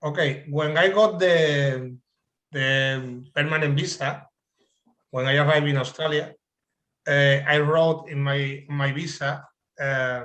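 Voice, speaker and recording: A man with a strong Spanish accent talks at a very slow pace, leaving long, frequent pauses. His fairly high voice has a bright, sharp tone and fairly even intonation. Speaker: adult English learner. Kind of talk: panel interview. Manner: halting.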